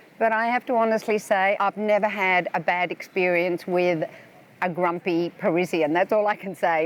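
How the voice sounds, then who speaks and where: In an Australian accent, a woman talks at a moderate pace with medium pitch and ordinary pitch variation. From Australia (Melbourne). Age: 70s. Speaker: tourist. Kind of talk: interview. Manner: casual with hesitations.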